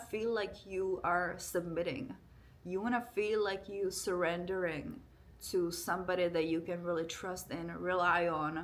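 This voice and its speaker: Speaking at a moderate pace and medium pitch with a non-native accent, a woman keeps her intonation fairly even amid audible room echo. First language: not English. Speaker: relationship vlogger. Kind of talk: casual monologue to camera. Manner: informal, conversational.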